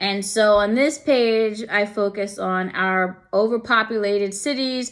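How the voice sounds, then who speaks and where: A woman's fairly slow, medium-pitched voice, an unremarkable speaking voice with fairly even intonation and an American accent, in a very clean recording with a silent background. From New York. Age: 40s. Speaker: student presenting a portfolio. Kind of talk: casual presentation walkthrough. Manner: conversational.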